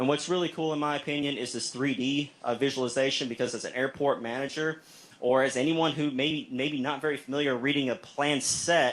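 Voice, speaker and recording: A man's fairly high voice, fairly quick and nearly pause-free, in a flat monotone. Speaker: state aviation agency presenter. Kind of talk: presentation at meeting. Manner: fast.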